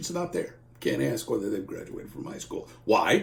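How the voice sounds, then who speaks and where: Noticeable noise is present in the background. Over it, a man talks very fast. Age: 60s. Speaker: employment lawyer. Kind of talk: informal legal explainer. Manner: conversational.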